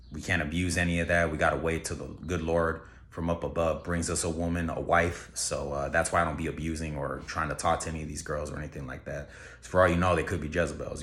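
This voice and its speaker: Very fast and monotone, a man speaks in a very deep, low voice with audible room echo. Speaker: YouTuber. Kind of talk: casual vlog monologue. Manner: casual, filler-heavy.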